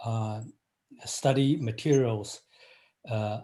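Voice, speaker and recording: Medium pitch marks this man's voice. He talks at a very slow pace. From China. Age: 50s. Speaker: engineering professor. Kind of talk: interview. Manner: halting, many fillers.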